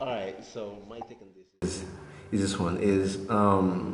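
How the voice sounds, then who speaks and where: There is audible room echo and noticeable background noise as a man talks in a fairly low voice. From grew up in the US, family from France. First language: French. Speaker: resident discussing racism in a panel. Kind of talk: group discussion. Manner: halting.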